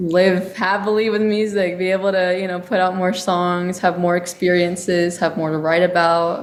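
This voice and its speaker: A woman with an American accent, monotone and flat, hardly any pauses, with audible room echo. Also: medium pitch for a woman, moderate pace. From Texas. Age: young (19). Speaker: singer-songwriter. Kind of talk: interview.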